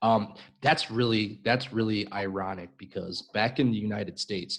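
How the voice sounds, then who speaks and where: A man's fairly low voice with a Chicago accent, at a fairly slow pace. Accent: Chicago American English. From US Midwest, Chicago. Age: 40s. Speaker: English teacher. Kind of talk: live-stream conversation lesson. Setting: live stream video call.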